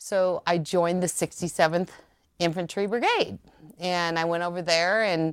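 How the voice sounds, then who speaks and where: A woman with an American accent speaks in a fairly low voice. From US Midwest, Nebraska near Lincoln. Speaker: military officer. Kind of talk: interview.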